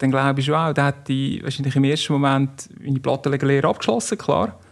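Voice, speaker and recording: A man talks at a moderate pace in a fairly high voice. The background is quiet. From Switzerland, canton Nidwalden. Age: 40s. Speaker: business executive, former amateur footballer. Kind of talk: interview.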